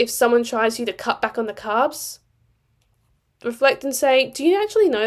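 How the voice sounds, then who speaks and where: A woman with an Australian accent speaks at a high pitch. Her tone is animated and her intonation lively. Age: 20s. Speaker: nutrition coach and podcast host. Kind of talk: solo podcast monologue.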